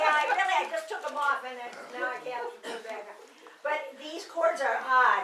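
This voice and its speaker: Someone speaks in a raised, projected voice at a moderate pace, with lively intonation, big swings in loudness and audible room echo. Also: woman, high pitch for a woman. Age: 80s+. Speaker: pianist giving a home recital. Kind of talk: casual chat. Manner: halting.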